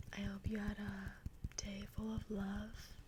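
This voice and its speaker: This soft-spoken voice takes its time. The pace is very slow. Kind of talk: casual talk to camera.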